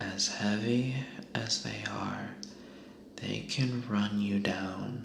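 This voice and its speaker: Soft-spoken whispering comes through over noticeable background noise. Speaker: ASMR content creator. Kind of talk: reading a humorous animal fact book aloud. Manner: whispered, soft.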